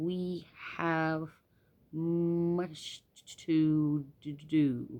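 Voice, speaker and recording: A put-on character voice at a middle pitch sounds tired, with a hissing quality. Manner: tired, hissing, snake-like.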